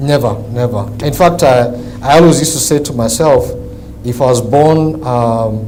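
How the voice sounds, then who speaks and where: In a room with audible echo and noticeable background noise, a man with an African accent speaks at a moderate pace, his medium pitch varying in an ordinary way. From Kenya. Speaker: businessman, car dealer. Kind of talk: interview.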